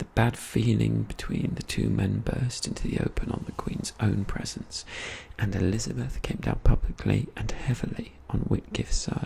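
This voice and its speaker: Soft-spoken, a man talks at a moderate pace amid noticeable background noise. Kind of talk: non-fiction history book reading.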